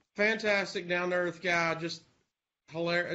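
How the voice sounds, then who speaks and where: In a strong Southern accent, a man talks at a high pitch. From US South, Alabama. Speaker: radio host. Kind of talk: casual chat.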